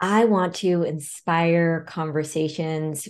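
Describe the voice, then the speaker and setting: Fairly even intonation comes through against a quiet background. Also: woman. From Seattle, US Pacific Northwest (born in Vietnam, arrived as a small child). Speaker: consultant and author. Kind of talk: interview conversation. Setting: remote call.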